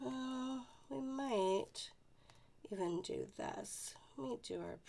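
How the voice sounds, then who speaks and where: A woman is heard over noticeable background noise. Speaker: paper craft demonstrator. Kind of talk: tutorial. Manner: casual, chatty.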